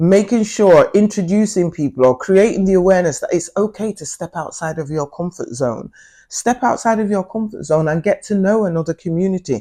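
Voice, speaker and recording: Fairly quick and with lively intonation, a woman speaks at a fairly low pitch in a dark, mellow tone. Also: quiet background. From Britain, Nigerian Igbo family. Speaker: peace activist and professor. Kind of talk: interview.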